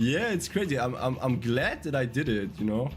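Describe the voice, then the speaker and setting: Background music under a man's fairly quick speech. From Germany. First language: German. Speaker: gaming streamer. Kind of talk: casual chat. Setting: live stream. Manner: halting.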